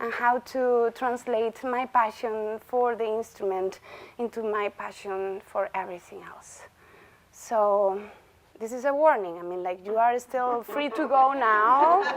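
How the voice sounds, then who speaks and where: At a fairly slow pace, a woman with a fairly high voice speaks with ordinary pitch variation and big swings in loudness. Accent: strong Galician. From Galicia, Spain. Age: 30s. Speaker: bagpipe musician and visiting chair. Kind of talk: lecture. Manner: conversational, interactive.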